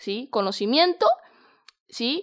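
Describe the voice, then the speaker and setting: In a Mexican accent, a woman speaks on a very clean recording with a silent background. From Mexico. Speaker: podcast host. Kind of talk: motivational monologue. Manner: warm, informal.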